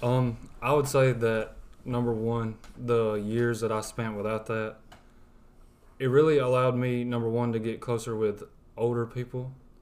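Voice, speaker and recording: With a strong Southern US accent, a man of medium pitch speaks at a moderate pace in a monotone, flat intonation, with long, frequent pauses. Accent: thick Southern. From West Alabama, US South. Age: 20s. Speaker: college student. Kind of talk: testimony. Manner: soft-spoken.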